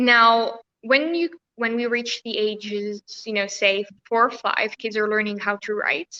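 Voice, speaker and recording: A woman's bright, sharp voice, fairly high in pitch, comes at a moderate pace with fairly even intonation and a dry, close sound with no echo. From France or Tunisia. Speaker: educator and school founder. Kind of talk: video chat, advice talk. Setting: virtual session.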